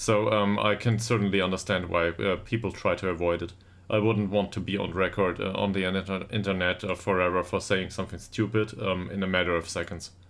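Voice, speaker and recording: Over a quiet background, a man with a German accent talks at a fairly quick pace in a very deep, low pitch with monotone, flat intonation. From Germany. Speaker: video game streamer. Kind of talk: live stream chat. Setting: home live stream. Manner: halting.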